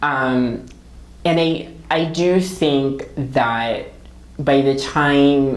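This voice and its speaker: A woman with a Filipino accent and very deep, low pitch, fairly even intonation at a very slow pace, with audible room echo. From Philippines. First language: Tagalog. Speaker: author. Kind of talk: interview. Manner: hesitant, many fillers.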